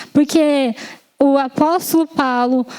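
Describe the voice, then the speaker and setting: At a very slow pace and with fairly even intonation, a woman with a Japanese accent speaks in a high pitch over noticeable background noise. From Japan, Yamanashi. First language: Japanese (speaking Portuguese). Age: 20s. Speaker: lay preacher. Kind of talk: sermon. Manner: halting, with self-corrections and fillers.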